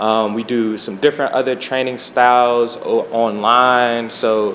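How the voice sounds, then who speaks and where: A man at a medium pitch and a fairly slow pace, with noticeable background noise. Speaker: community medic trainer. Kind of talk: interview. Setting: live stream with audience. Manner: soft-spoken.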